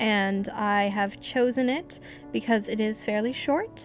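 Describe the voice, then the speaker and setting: A woman speaks at a moderate pace with a fairly high pitch and fairly even intonation, with music playing in the background. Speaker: amateur horror story reader. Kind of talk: casual talk to camera.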